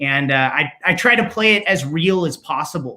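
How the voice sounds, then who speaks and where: Lively in intonation, a man uses a raised, projected voice with a bright, sharp tone. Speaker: voice actor. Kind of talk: casual interview. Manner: loud.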